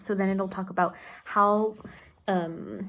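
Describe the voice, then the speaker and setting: This woman speaks with a slight Spanish accent at a fairly slow pace. Her pitch is medium. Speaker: book vlogger and tarot reader. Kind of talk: casual chat. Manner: enthusiastic.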